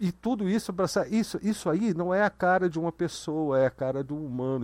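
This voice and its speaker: A man with a plain, everyday voice talks at a moderate pace, his pitch fairly high and his intonation lively. The background is quiet. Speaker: livestream host. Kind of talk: casual chat. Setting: video call.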